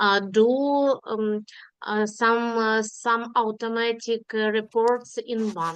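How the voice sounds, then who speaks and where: Against a quiet background, a woman with a non-native accent speaks at a very slow pace, her fairly high pitch held in fairly even intonation. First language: not English. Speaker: workshop participant. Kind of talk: group discussion report. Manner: halting, many fillers.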